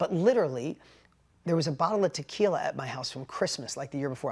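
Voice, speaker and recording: Speaking very fast with a New York accent, the voice sounds animated on a very clean recording with a silent background. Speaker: business coach. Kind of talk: motivational storytelling talk.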